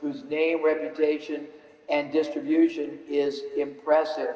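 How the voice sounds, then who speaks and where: A man's fairly high voice with fairly even intonation at a moderate pace, amid noticeable background noise and audible room echo. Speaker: business speaker. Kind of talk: seminar lecture.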